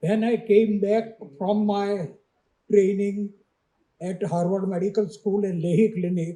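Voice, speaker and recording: A man with an Indian accent speaks at a fairly slow pace in a high pitch. His tone is dark and mellow, and his intonation is monotone and flat. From India, Baroda (Gujarat). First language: Gujarati. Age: 80s+. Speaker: retired surgeon, award recipient. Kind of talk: acceptance speech. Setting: stage with audience.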